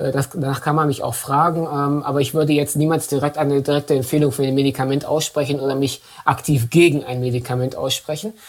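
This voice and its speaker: Fairly high in pitch and monotone, a man talks at a fairly quick pace with flat intonation. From Dortmund, western Germany. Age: 30s. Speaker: MS patient and advocate. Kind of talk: interview.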